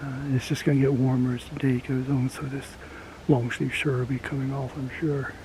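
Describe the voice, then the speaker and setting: Over noticeable background noise, a man with an American accent talks at a fairly quick pace in a relaxed tone with monotone, flat intonation. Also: medium pitch for a man. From rural US. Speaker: outdoors vlogger. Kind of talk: casual outdoor vlog talk. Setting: outdoors in woods. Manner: relaxed, halting with fillers.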